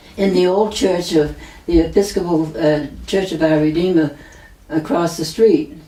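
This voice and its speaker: Over noticeable background noise, a woman with an American accent speaks at a moderate pace and a fairly low pitch, with ordinary pitch variation. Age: 90s. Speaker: retired nurse, florist family member. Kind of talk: oral history interview. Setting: at her home.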